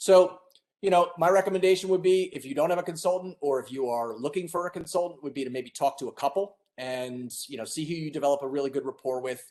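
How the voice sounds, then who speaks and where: A man talks very fast, and his pitch is fairly high. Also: ordinary pitch variation. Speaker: E-rate funding consultant. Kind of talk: webinar presentation.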